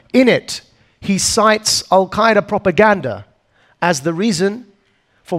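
In a very clean recording with a silent background, a man with an Essex accent speaks fairly slowly at a high pitch. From Essex, England. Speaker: anti-extremism activist. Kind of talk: keynote talk. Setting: stage with audience.

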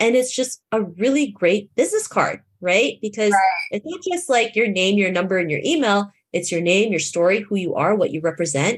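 With a Canadian accent, a woman uses a normal speaking voice, talking at a moderate pace with lively intonation and hardly any pauses. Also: medium pitch for a woman. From Toronto, Canada. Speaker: keynote speaker and confidence coach. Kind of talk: podcast interview.

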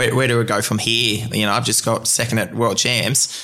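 Over noticeable background noise, a man with an Australian accent talks at a very fast pace at a medium pitch. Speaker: marathon open water swimmer. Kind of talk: interview conversation. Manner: halting.

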